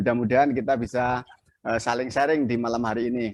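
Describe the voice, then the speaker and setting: A man of medium pitch speaks with a Javanese accent. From Central Java, Klaten. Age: 50s. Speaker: video editing instructor. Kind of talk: online class tutorial. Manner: halting.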